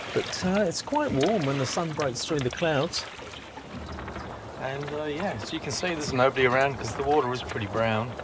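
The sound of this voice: A man's medium-pitched voice at a moderate pace over clear background noise. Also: ordinary pitch variation.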